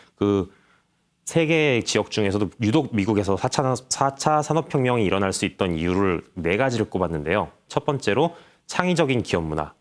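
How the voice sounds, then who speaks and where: A man speaks at a fairly low pitch with very wide pitch swings. The recording is very clean, with a silent background. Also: moderate pace, very even loudness. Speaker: newspaper reporter. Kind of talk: interview.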